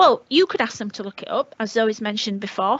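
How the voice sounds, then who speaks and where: A woman's fairly high voice with a northern English accent at a very fast pace. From northern England, Leeds. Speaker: teacher. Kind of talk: webinar talk. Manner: hesitant, many fillers.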